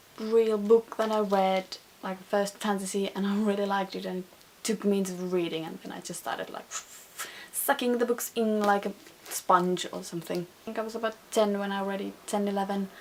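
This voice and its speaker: Over noticeable background noise, a woman speaks with big swings in loudness. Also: medium pitch for a woman, fairly quick pace. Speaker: book vlogger. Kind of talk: casual chat. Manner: halting; animated.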